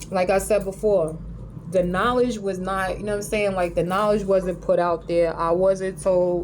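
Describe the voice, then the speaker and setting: A woman with a New York accent speaks at a moderate pace and a medium pitch. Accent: New York City. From New York City. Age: 40s. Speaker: vlogger. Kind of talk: casual monologue rant. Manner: animated.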